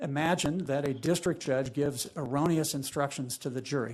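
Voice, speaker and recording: A man's fairly high voice with ordinary pitch variation against a quiet background. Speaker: lawyer. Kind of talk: appellate oral argument. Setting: courtroom. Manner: fast.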